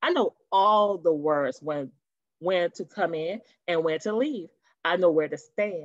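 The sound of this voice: A woman's fairly low voice with ordinary pitch variation, at a fairly slow pace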